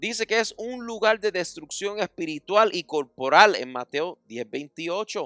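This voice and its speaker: A man's high, raised, projected voice in an English accent, with very wide pitch swings, big swings in loudness and hardly any pauses, over music in the background. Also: fairly slow pace, dry, close sound with no echo. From United States. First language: English (speaking Spanish). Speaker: pastor. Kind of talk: sermon.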